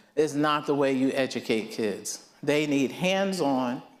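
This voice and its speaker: A man speaks at a very slow pace with lively intonation. Audible room echo surrounds his voice. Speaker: nonprofit co-founder. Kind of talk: speech to audience. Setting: stage with audience. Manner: loud.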